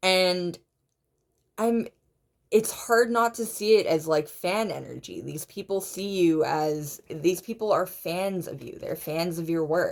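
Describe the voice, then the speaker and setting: A woman talks at a very slow pace and a medium pitch. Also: ordinary pitch variation. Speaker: tarot reader. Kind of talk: pick-a-card tarot reading. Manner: halting, frequent self-repetitions; animated.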